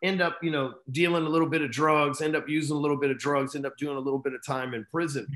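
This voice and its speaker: Over a quiet background, a man with a Texan accent speaks at a fairly quick pace, his pitch fairly high and his intonation fairly even. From Texas, Dallas. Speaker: entrepreneur and sales coach; sales coach. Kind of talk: interview storytelling. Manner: casual, profane. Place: home room. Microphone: video call.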